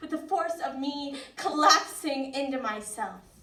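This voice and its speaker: Amid noticeable background noise, a woman projects a raised, high-pitched voice at a fairly slow pace with ordinary pitch variation. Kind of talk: spoken word poetry performance.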